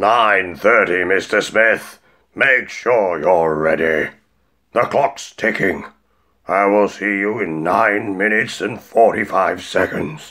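A put-on character voice from a man, fairly low in pitch, at a very slow pace. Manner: calm, polite, unhurried, faintly menacing.

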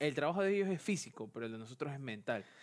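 A man's fairly high voice comes through on a very clean recording against a silent background. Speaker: office worker and university student. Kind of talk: casual chat. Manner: halting.

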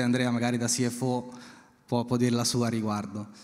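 Against a quiet background, a man uses a normal speaking voice at a medium pitch and a fairly quick pace. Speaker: payments industry executive; speaker. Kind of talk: panel discussion. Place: stage. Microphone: handheld.

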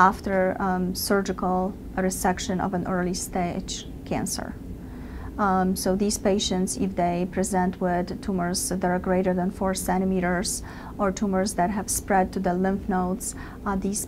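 With noticeable background noise, a woman talks at a fairly slow pace in a monotone, flat intonation. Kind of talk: interview answer. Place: office.

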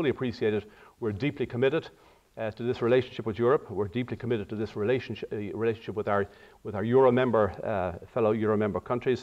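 Against a quiet background, a man talks at a very fast pace. His pitch varies in an ordinary way. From Ireland. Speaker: diplomat. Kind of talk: lecture. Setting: auditorium with audience. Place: hall. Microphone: podium.

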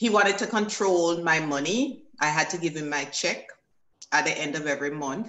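A woman with a very deep, low voice talks at a moderate tempo, her pitch varying in an ordinary way. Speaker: former fashion model and educator. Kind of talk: personal testimony.

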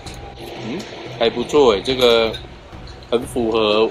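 A man speaking at a very slow pace with fairly even intonation, faint music in the background. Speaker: travel vlogger. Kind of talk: casual vlog chat. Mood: cheerful. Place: cafe.

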